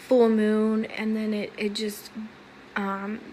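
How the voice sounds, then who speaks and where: With audible room echo, a woman speaks at a fairly high pitch in a flat monotone. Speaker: video blogger sharing dreams. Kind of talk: personal dream testimony to camera. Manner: halting, many fillers and restarts.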